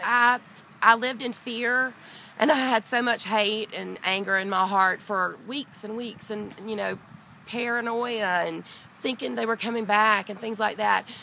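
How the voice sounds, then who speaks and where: This woman has a Southern US accent and a fairly high pitch. She talks at a fairly slow pace with fairly even intonation. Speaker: dog owner, burglary victim. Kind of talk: interview testimony. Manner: loud; halting.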